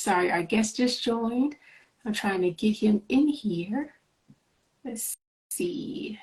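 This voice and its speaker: A somewhat breathy woman speaks at a fairly high pitch with lively intonation. She goes at a very slow pace, with long, frequent pauses. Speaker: interview show host. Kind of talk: casual video interview.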